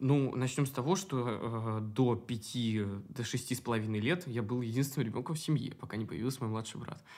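The delivery is fairly quick, with ordinary pitch variation. Overall, it is a plain, everyday voice. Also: man, medium pitch for a man. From Moscow, Russia. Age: 20s. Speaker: drag and burlesque performer. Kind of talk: casual interview chat.

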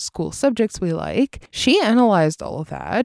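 Speaking in a Russian accent, a woman keeps a moderate pace. The sound is dry and close with no echo, on a very clean recording with a silent background. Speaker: English teacher and school CEO. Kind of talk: solo monologue podcast episode.

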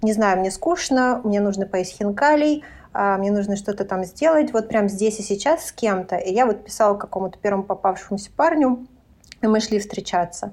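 This woman has an ordinary speaking voice, pitched in the medium range, with ordinary pitch variation and a moderate pace. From Lithuania. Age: 30s. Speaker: podcast guest. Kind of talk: casual chat.

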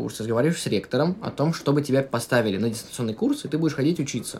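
Very fast, fairly high-pitched speech from a man with lively intonation, plus noticeable background noise. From Russia. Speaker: podcast guest, musician and painter. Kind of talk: casual interview chat.

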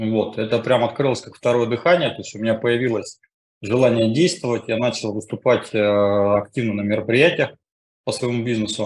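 Loudness swings widely as a man at medium pitch talks at a moderate pace with ordinary pitch variation. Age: 40s. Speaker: coaching school student. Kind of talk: testimony. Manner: halting.

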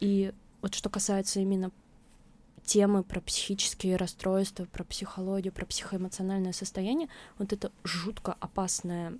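A woman's medium-pitched voice moves at a moderate pace. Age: 20s. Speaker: blogger, author of a mental health channel. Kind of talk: interview, casual chat. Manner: halting, many fillers.

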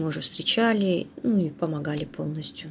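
A woman's speech has ordinary pitch variation and moves at a fairly slow pace. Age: 40s. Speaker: human rights activist. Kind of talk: interview testimony. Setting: online call.

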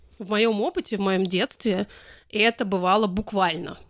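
A woman with a plain, everyday voice speaks at a medium pitch and a fairly slow pace, her intonation fairly even. The recording is very clean with a silent background, and the sound is dry and close with no echo. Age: 40s. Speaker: activist and podcast co-founder. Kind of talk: interview.

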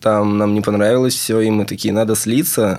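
A man with a normal speaking voice talks at a moderate pace and medium pitch, keeping his intonation fairly even. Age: 20s. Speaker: student software developer. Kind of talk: casual chat. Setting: studio.

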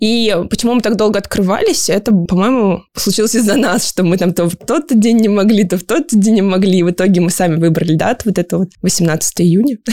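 In a plain, everyday voice, a woman talks fairly quickly at a medium pitch, with ordinary pitch variation, very even loudness and hardly any pauses. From Siberia, Kemerovo region. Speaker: running community organizer. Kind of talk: casual interview. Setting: studio.

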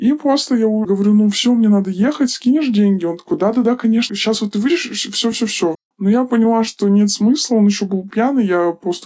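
Pitch varies in an ordinary way as the speech goes by at a fairly quick pace. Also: woman. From small town in Russia. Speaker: former escort worker. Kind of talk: interview testimony. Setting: studio.

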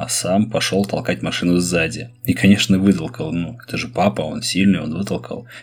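Lively intonation carries over noticeable background noise. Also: man. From Russia, Saint Petersburg. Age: 30s. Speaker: podcast host and schoolteacher. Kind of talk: personal storytelling monologue.

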